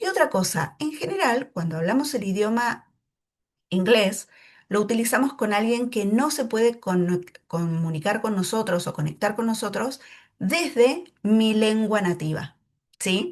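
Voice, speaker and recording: A woman speaks at a fairly slow pace with an Argentine accent, her voice somewhat breathy and fairly high. Her intonation is lively, and the background is quiet. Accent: Argentine, drops S sounds. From Argentina, Neuquén. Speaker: English teacher. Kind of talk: tutorial.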